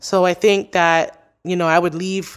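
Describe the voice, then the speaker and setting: A woman speaks at a medium pitch and a moderate pace in an ordinary speaking voice. The recording is very clean, with a silent background. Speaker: podcaster. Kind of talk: casual interview chat. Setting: studio.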